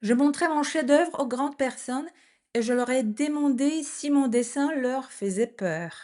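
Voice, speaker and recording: A woman speaks at a very slow pace in a high pitch with a dark, mellow tone. Her pitch varies in an ordinary way, and the background is quiet. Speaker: French teacher. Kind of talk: reading aloud. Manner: clear.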